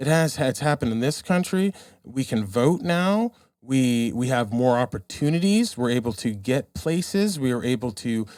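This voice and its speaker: This man has a medium pitch and lively intonation. He speaks at a moderate pace in a very clean recording with a silent background. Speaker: podcast guest. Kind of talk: casual chat. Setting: drinking during recording. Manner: animated.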